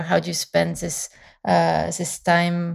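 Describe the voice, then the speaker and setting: A woman speaks with a French accent. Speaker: painter. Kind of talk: interview. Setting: remote call.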